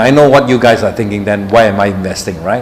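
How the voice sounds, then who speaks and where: The pitch varies in an ordinary way. Noticeable background noise can be heard. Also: man. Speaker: tech company CEO. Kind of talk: live Q&A session. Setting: live stream on social media. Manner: halting with fillers.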